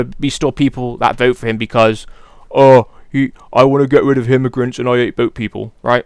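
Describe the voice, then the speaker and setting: With a British accent, a man speaks in an animated tone at a fairly quick pace. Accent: British accent, regional. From Britain. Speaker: political commentary youtuber. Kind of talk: casual opinion monologue. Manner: casual, animated.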